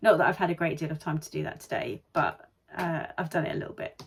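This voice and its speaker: In a British accent, the speaker talks at a fairly quick pace. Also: woman. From UK. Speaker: vlogger and online seller. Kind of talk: casual vlog talk to camera.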